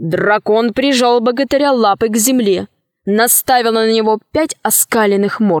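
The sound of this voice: The quiet background lets the voice come through. It reads in an unforced way.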